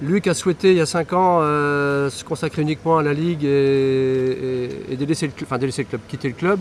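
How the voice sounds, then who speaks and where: A man with a fairly high pitch and fairly even intonation. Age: 60s. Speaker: triathlon club co-president. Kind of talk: interview. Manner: hesitant, repeats words.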